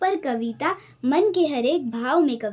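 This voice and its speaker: Her pitch swinging very widely, a woman speaks. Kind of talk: poetry reading.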